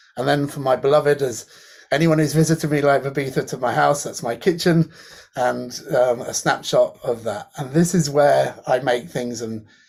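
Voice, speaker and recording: A man's fairly high-pitched delivery, an unremarkable speaking voice, moves at a moderate pace and shows ordinary pitch variation. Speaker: academic in creative technology and design. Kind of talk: online panel presentation.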